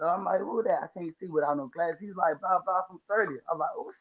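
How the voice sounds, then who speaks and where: A man with a high pitch. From Washington, D.C. inner city. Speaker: lawn care business owner. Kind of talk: casual chat. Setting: podcast livestream. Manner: stuttering.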